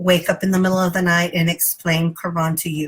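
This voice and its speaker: At a moderate pace, a woman speaks in a somewhat breathy voice with monotone, flat intonation. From Texas. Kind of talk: personal testimony. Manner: halting, many fillers.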